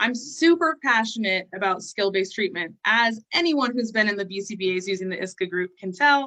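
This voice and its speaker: Speaking at a fairly quick pace with hardly any pauses, a woman uses an animated tone and lively intonation in a bright, sharp voice of medium pitch. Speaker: behavior analyst hosting a webinar. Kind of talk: online presentation. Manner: fast.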